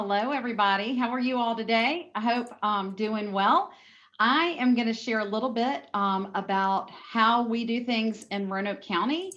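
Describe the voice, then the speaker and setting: A woman speaks with a Southern US accent. Her pace is moderate, and her pitch variation is ordinary. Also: fairly high pitch for a woman. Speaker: school district educator. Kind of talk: webinar presentation.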